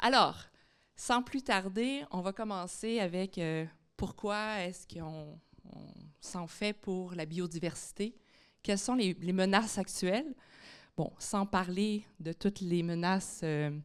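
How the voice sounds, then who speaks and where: Recorded very cleanly against a silent background, a woman with a Quebec accent speaks at a very slow pace in a medium pitch, her pitch varying in an ordinary way while her loudness swings widely. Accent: Québécois French. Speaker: biology professor. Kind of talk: public lecture.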